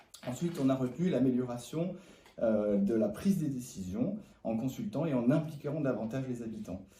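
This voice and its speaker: A man speaks at a moderate pace with lively intonation and a medium pitch. There is audible echo from the room. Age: 30s. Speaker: municipal election candidate. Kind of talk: interview. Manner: hesitant, many fillers.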